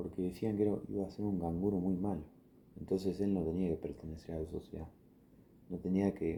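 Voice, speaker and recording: Pitch moves in an ordinary way through this dark, mellow tone. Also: man. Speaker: ASMR creator. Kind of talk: improvised ASMR bedtime story. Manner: slow, soothing, relaxing.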